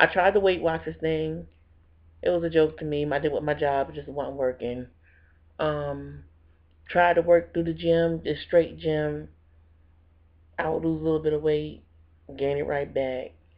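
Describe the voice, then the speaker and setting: A woman at a moderate pace with long, frequent pauses. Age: 30s. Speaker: vlogger. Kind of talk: personal testimony video. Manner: casual, conversational.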